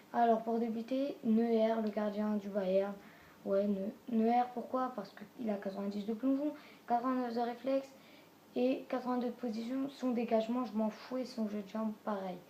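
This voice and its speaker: A woman's fairly high voice moves fairly slowly, its intonation fairly even. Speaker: gaming youtuber. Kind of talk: video game team presentation. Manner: halting.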